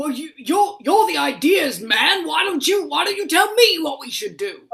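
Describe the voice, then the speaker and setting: At a moderate pace, someone uses a put-on character voice with an extremely high pitch. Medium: stage play.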